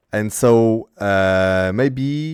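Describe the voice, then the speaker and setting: With a French accent, a man speaks at a fairly low pitch with ordinary pitch variation. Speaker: streamer and interviewer. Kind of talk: casual interview. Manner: halting.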